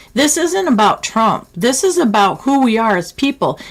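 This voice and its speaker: Somewhat breathy, a woman's voice moves in very wide pitch swings. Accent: American. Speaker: live stream host. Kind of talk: live call-in show commentary. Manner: impassioned.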